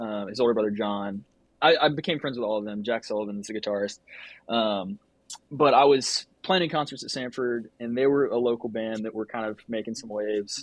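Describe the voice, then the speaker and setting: A man with an American accent speaks at a fairly quick pace in an unremarkable speaking voice. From Georgia, US South (Norcross, north of Atlanta). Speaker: photographer and filmmaker. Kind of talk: casual interview chat.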